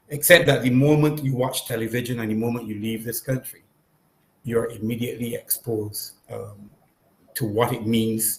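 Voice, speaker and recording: A somewhat breathy man with a Barbadian accent, medium pitch, fairly even intonation and a moderate pace. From Barbados. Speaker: panel guest. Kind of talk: public consultation discussion. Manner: halting, many fillers.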